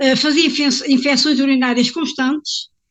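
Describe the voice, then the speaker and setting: Against a quiet background, a woman talks in a high pitch. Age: 70s. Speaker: supplement sales consultant. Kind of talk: personal testimony. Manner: halting.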